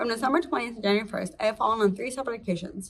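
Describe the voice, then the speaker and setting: A woman speaks in a somewhat breathy voice. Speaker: patient with late-onset Tay-Sachs, teacher. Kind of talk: prepared testimony statement. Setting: virtual meeting. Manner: halting with repeated syllables.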